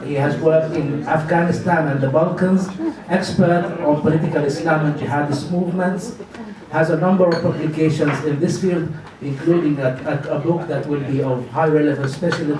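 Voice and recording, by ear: A man with fairly high pitch talks at a moderate pace with fairly even intonation. Audible room echo surrounds his voice.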